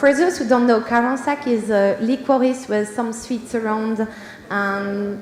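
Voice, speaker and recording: A woman in a Belgian French accent, fairly high in pitch with ordinary pitch variation, at a fairly slow pace, over noticeable background noise. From Belgium. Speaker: perfumer and senior scientist. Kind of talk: conference talk.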